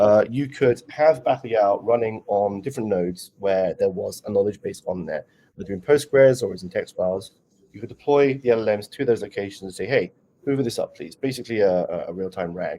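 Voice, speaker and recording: A man speaks at a fairly quick pace. His loudness rises and falls in big swings. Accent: British. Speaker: conference speaker, developer relations lead. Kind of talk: Q&A after a conference talk.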